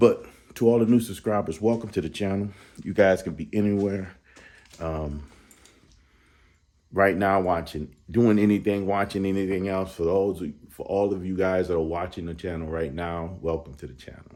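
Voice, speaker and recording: A man with a very deep, low pitch and a dark, mellow tone speaks at a moderate pace with fairly even intonation, long, frequent pauses and big swings in loudness. Audible room echo surrounds his voice. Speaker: car enthusiast vlogger. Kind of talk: casual tutorial vlog. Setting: home garage. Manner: casual, stumbling.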